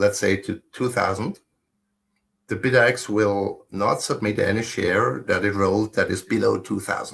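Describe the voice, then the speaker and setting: This man speaks with a German accent. His pace is moderate. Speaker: solo mining pool operator. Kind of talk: technical casual chat.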